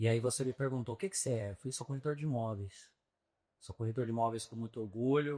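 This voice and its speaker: A man's pitch is medium and varies in an ordinary way. He talks very fast. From São Paulo, Brazil. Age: 30s. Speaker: real estate agent. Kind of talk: podcast interview.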